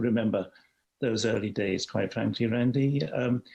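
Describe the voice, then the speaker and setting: A man with a British accent speaks at a medium pitch with ordinary pitch variation. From London, England. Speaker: HIV activist. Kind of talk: interview. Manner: halting, repeats words.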